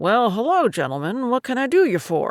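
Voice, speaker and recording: The put-on character voice moves at a moderate pace with very wide pitch swings, in a very clean recording with a silent background. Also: woman. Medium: read story. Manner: folksy, salesman-friendly.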